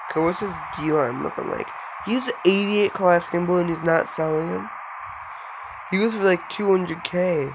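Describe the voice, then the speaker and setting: At a moderate pace and with long, frequent pauses, a man speaks in a high pitch with ordinary pitch variation over noticeable background noise. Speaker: gaming YouTuber. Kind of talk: gameplay commentary. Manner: casual, chatty.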